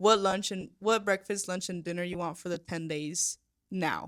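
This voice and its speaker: Flat, monotone delivery in a Spanish accent, on a very clean recording with a silent background. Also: woman. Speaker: podcast co-host. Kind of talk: casual chat. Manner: halting, many fillers and restarts.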